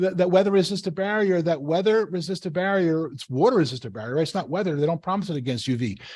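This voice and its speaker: A man talks in a high voice. Behind him, the background is quiet. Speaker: building science presenter. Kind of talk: webinar lecture. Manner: fast.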